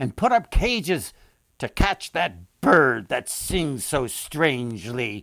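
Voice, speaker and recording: Putting on a character voice, a man of medium pitch makes very wide pitch swings at a fairly slow pace, in a dry, close sound with no echo. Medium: read story. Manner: commanding.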